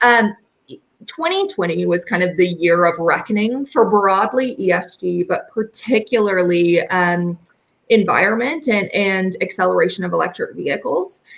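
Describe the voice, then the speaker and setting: A woman speaks at a moderate pace. Her pitch sits in the middle of a woman's range, with ordinary variation. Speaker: metals company co-founder and president. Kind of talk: podcast interview. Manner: loud.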